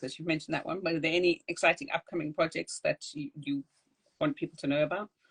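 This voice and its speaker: In a dry, close recording with no echo, a woman with a fairly low pitch and ordinary pitch variation speaks very fast in a somewhat breathy voice. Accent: South African. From South Africa. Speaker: podcast host. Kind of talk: interview.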